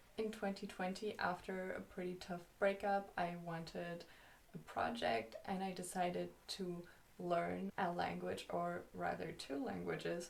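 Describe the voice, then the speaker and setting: A woman with a German accent at a fairly slow pace. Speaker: YouTuber. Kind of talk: vlog.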